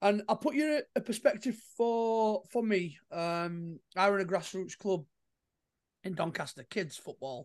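Against a quiet background, the speaker talks at a fairly slow pace. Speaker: podcast host. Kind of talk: casual chat. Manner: chatty, joking.

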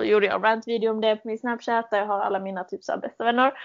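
A woman with an unremarkable speaking voice, medium in pitch and fairly even in intonation. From Sweden, Malmö. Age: 20s. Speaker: podcast host, au pair. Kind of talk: casual chat.

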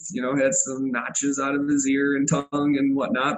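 A man with an American accent, fairly high pitch, fairly even intonation and moderate pace, over noticeable background noise. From Illinois. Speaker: dog advocate and dog sports competitor. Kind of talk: interview.

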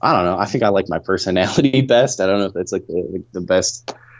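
At a very fast pace, a man with an American accent talks in a very deep, low voice with ordinary pitch variation. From Texas. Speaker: vox pop interviewee. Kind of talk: casual interview answer.

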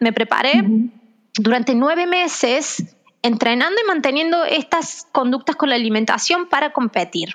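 Her intonation is lively and her loudness very even. A woman speaks at a moderate pace with a high pitch. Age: 30s. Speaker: physiotherapist and author. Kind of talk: interview testimony.

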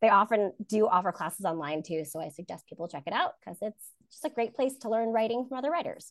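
Talking at a very fast pace, a woman with an American accent uses a fairly high pitch with very wide pitch swings and big swings in loudness. The background is quiet. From New Jersey. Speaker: fantasy author. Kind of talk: casual chat.

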